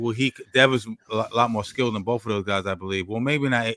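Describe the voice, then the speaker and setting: Speaking very fast with an American accent, a man at medium pitch has a bright, sharp tone and ordinary pitch variation, recorded with a dry, close sound and no echo. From New York. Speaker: boxing podcast host. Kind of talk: casual chat. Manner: halting.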